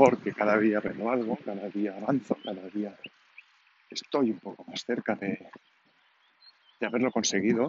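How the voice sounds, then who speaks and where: A man at a moderate pace, with a fairly low pitch and long, frequent pauses. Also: fairly even intonation. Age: 40s. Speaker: podcaster. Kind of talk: personal audio diary. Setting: outdoors walking. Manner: halting.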